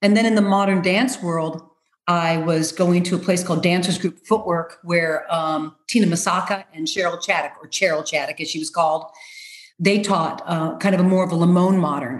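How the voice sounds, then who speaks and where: This woman speaks in an American accent, her fairly low voice somewhat breathy and her intonation fairly even. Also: moderate pace. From US Midwest, Rockford, Illinois. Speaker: choreographer and dancer. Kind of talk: interview.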